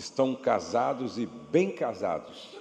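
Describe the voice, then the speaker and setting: A man speaks very slowly, his pitch swinging very widely. Noticeable background noise runs underneath. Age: 60s. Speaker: pastor and marriage speaker. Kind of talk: church workshop talk; sales pitch. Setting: church with audience and PA system. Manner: not shouting, moderate volume.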